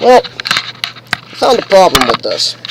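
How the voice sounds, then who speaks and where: A man is heard talking through noticeable background noise. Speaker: vlogger living in an RV. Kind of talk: casual video blog. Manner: halting, many fillers.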